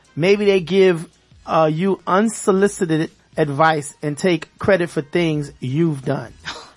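With music in the background, someone talks at a very slow pace. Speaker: radio host. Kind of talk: casual radio talk show. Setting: radio show with callers.

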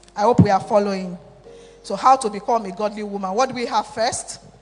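The speaker talks at a fairly quick pace while music plays in the background. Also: long, frequent pauses. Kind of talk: sermon, altar-call prayer. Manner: fervent, repetitive, exhortative preacher's cadence, urgent and imploring.

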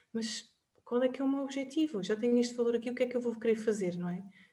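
The pitch varies in an ordinary way. It is a plain, everyday voice. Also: woman. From Portugal, Covilhã. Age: 30s. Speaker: personal finance advisor. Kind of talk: interview.

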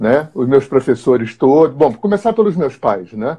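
A man's voice carries a dark, mellow tone and very wide pitch swings. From Rio de Janeiro, Brazil. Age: 60s. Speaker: therapist and teacher. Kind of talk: interview on spirituality.

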